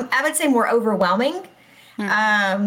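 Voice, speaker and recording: Somewhat breathy, the voice belongs to a woman. She talks with an American accent. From Texas. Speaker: school principal. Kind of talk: casual chat.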